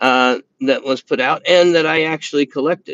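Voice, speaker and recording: Here a man talks with an American accent. He keeps a moderate pace and ordinary pitch variation. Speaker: knife review YouTuber. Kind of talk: live stream chat. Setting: live stream from indoors by window. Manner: halting, many fillers and repeats.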